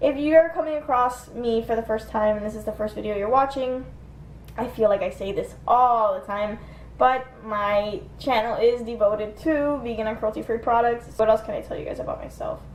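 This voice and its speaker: With an American accent, a woman speaks at a fairly high pitch and a moderate pace, her pitch varying in an ordinary way and her loudness swinging widely, amid audible room echo and light background noise. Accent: slight Cuban-Miami accent on some words. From US, Miami, Florida (Cuban American); Florida. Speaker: beauty vlogger. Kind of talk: casual get-ready-with-me vlog. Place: home room. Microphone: phone near.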